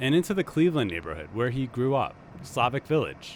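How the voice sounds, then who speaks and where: A man's medium-pitched voice with very wide pitch swings, vocal fry, and a moderate pace. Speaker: public radio reporter. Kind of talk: public radio feature narration.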